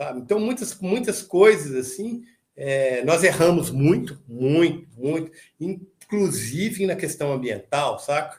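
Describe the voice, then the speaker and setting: A man speaks at a high pitch with lively intonation. He talks at a very slow pace. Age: 60s. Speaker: metal band vocalist. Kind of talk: casual interview chat. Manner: halting, many repetitions and fillers.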